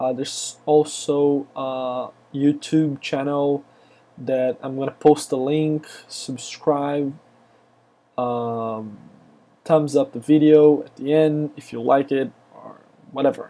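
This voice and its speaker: A man with a Brazilian accent speaks very slowly, leaving long, frequent pauses. His pitch is fairly high, his tone dark and mellow, and his intonation fairly even. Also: big swings in loudness. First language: Portuguese. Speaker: software developer, screencaster. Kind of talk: tutorial. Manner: hesitant, many fillers.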